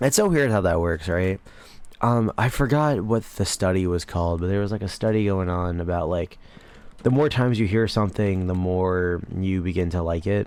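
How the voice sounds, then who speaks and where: A man speaks with a very deep, low pitch. His pace is moderate and his pitch variation ordinary. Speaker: commentary YouTuber. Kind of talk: casual gameplay commentary. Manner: casual, low-enthusiasm.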